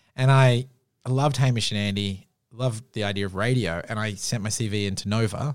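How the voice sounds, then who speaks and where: Speaking at a fairly quick pace, a man with a fairly low pitch talks in an Australian accent. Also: ordinary pitch variation, very clean recording, silent background. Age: 30s. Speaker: podcast producer and writer. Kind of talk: casual interview chat. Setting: studio.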